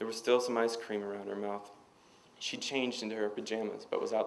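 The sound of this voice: Read in an unforced reading voice, the passage carries fairly even intonation.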